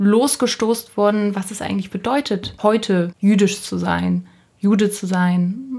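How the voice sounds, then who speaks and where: Fairly even intonation and a somewhat breathy voice. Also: woman. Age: 20s. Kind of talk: interview.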